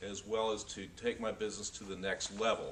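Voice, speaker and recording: A man with an American accent, his pitch varying in an ordinary way, keeps a moderate tempo while noticeable background noise runs underneath. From North Florida, later California. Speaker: aspiring professional speaker. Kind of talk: testimonial.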